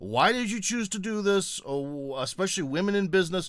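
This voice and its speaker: On a very clean recording with a silent background, a man with an American accent speaks in a high voice that swings very widely in pitch. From USA. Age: 40s. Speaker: YouTube host, interviewer. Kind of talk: interview.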